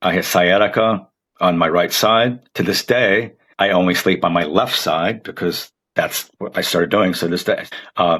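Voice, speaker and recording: A man speaks with a very deep, low pitch and a bright, sharp tone. His intonation is fairly even and his pace is moderate. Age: 60s. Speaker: marathon runner. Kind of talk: podcast interview.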